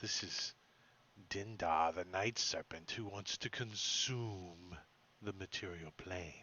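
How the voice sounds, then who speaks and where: A man's put-on character voice, very deep and low-pitched, at a fairly slow pace. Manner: creepy, sinister.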